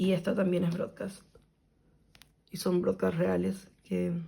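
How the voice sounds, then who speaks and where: The voice has a dark, mellow tone with vocal fry. Its intonation stays monotone and flat. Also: woman. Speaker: kpop photocard collector youtuber. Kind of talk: casual vlog narration while organizing.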